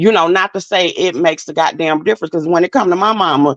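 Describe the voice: A woman speaks at a fast pace with a fairly low pitch and ordinary pitch variation. The sound is dry and close, with no echo.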